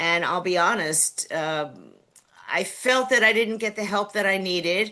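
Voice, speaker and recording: The speaker has a New York accent. The background is quiet. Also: woman. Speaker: city council candidate. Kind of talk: candidate interview. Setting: video call.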